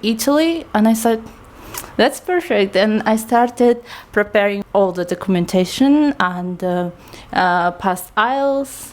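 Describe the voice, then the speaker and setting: A woman speaks with lively intonation and fairly high pitch at a fairly slow pace. Noticeable background noise is present. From eastern Kazakhstan. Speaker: student and English teacher, guest. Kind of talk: casual interview. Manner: hesitant, frequent fillers.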